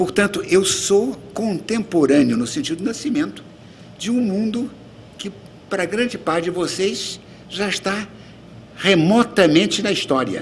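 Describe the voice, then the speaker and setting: The speaker uses lively intonation with long, frequent pauses over light background noise. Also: man. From Brazil, Rio de Janeiro. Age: 80s+. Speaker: retired ambassador, diplomat; guest lecturer. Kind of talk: lecture. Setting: auditorium with audience. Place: hall. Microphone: podium.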